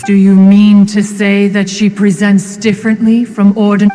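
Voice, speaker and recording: A put-on character voice that sounds female, pitched medium for a woman and delivered at a moderate pace. Background noise is clearly heard. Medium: video game. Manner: archaic, formal, refers to self as one.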